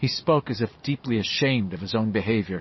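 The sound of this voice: With ordinary pitch variation, the clip presents an unforced reading voice.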